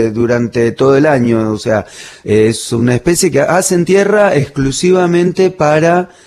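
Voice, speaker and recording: Speaking at a fairly slow pace, a man keeps his loudness very even while his intonation stays lively. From Greater Buenos Aires (Bernal, Quilmes), Argentina. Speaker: biologist and zoologist. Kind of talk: radio interview. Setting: Antarctic research base. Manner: hesitant, many fillers.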